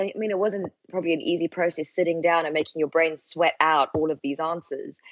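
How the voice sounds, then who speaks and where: A woman's fairly low voice at a fairly quick pace. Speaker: yoga teacher. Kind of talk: casual chat. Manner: fast; animated.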